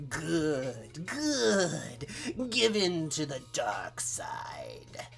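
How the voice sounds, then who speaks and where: With clear music in the background, a man does a put-on character voice at a very slow pace. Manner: menacing, villainous.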